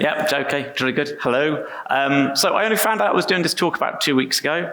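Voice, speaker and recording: Someone with an English accent talks at a very fast pace with ordinary pitch variation, amid noticeable background noise and audible room echo. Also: man, fairly high pitch for a man. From England. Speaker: software engineer, conference speaker. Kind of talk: conference talk. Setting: stage with audience. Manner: casual, self-deprecating with fillers.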